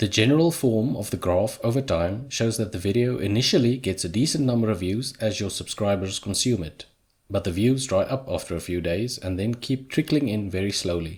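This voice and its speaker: A man speaks with a South African accent at a fairly quick pace, his intonation lively. His fairly low voice is somewhat breathy. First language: Afrikaans. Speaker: YouTuber. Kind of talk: scripted narration.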